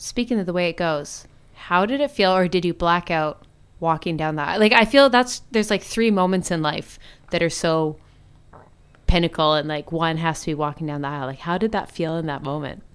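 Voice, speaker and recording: A woman with an ordinary speaking voice and a Canadian accent, fairly low pitch, lively intonation and fairly quick pace, in a very clean recording with a silent background. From Canada, Alberta. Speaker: podcast co-host. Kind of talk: casual chat.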